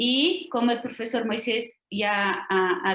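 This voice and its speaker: A woman speaks with a Portuguese accent and ordinary pitch variation. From Brazil. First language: Portuguese (speaking Spanish). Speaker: lecturer, language teacher and doctoral student. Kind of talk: academic lecture. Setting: video call.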